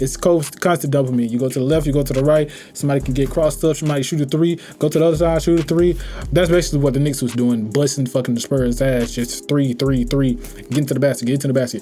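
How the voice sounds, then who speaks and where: With an American accent, a man at fairly high pitch speaks at a very fast pace with fairly even intonation and very even loudness, amid noticeable background noise. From US South, Atlanta. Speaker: reaction streamer. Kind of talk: casual reaction commentary.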